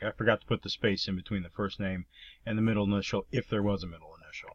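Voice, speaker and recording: A man's fairly low voice at a very fast pace, with fairly even intonation and a dry, close sound free of echo. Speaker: software tutorial creator. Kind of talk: screen-share tutorial. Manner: casual, self-correcting.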